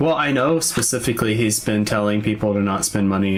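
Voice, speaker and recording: Through noticeable background noise, a man with a fairly low pitch talks at a fairly quick pace. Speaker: YouTube card opening streamer. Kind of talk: casual chat on livestream. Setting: livestream. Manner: laid-back, soft-spoken.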